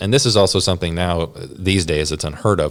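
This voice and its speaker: On a very clean recording with a silent background, a man with a Southern US accent and a very deep, low pitch talks at a fairly quick pace with ordinary pitch variation. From US South, Georgia. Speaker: missionary. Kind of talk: interview conversation. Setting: office.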